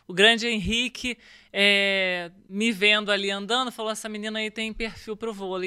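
At a moderate pace, a woman with an unremarkable speaking voice talks at a fairly high pitch with fairly even intonation in a very clean recording with a silent background. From Rio de Janeiro, Brazil. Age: 40s. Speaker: former volleyball player. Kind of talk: interview.

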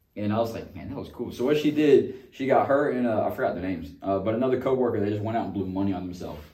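Talking very fast with hardly any pauses, a man uses lively intonation and a dark, mellow tone. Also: medium pitch for a man. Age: 20s. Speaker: podcast co-host. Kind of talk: casual chat.

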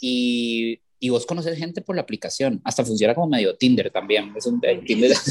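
A man speaks in a normal speaking voice at medium pitch with ordinary pitch variation, talking at a fairly quick pace with hardly any pauses in a dry, close recording with no echo. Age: 40s. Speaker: architect and university educator. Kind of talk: casual interview.

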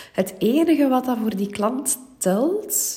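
A woman with a Flemish accent at a very slow pace. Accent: Flemish Dutch. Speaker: business coach. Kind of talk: solo podcast tips talk. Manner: voice occasionally cracking.

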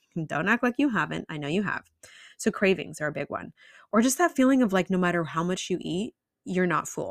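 In an ordinary speaking voice with a fairly low pitch, a woman talks at a fairly quick pace, the sound dry and close with no echo in a very clean recording with a silent background. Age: 30s. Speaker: nutrition and lifestyle practitioner, podcast host. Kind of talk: solo educational podcast monologue. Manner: casual, conversational with fillers.

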